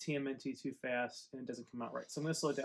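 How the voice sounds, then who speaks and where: This man's voice has a fairly high pitch. His intonation stays fairly even. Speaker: toy reviewer. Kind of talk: casual unboxing video.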